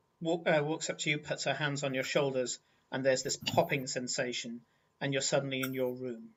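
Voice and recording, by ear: Reading aloud, natural in voice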